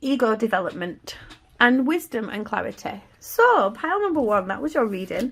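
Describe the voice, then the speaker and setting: In a Yorkshire accent, a woman talks at a moderate pace with a somewhat breathy voice. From Yorkshire, England. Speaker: tarot reader. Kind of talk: tarot reading to camera. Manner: casual, warm.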